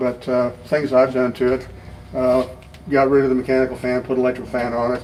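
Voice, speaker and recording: Noticeable background noise sits behind a man speaking fairly quickly at a medium pitch with monotone, flat intonation. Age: 70s. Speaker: retired anesthesiologist and car owner. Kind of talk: casual interview in a car shop. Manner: hesitant with frequent fillers.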